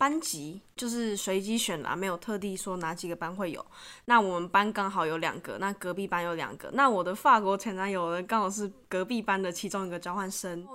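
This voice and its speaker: On a very clean recording with a silent background, a woman talks at a fairly quick pace in a medium pitch, her tone bright and sharp and her pitch variation ordinary. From Taiwan. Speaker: podcast guest, student abroad. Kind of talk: casual chat.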